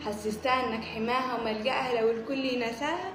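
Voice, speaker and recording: A woman with an Upper Egyptian accent, high in pitch, at a fairly slow pace, with music in the background. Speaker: poet. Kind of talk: poetry reading.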